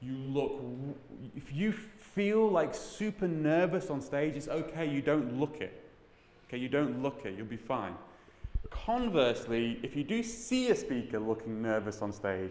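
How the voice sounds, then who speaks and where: A man with a British accent speaks at a fairly high pitch and a fairly slow pace. His pitch swings very widely, and there is noticeable background noise. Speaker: tech conference speaker. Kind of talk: talk to an audience. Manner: mumbling.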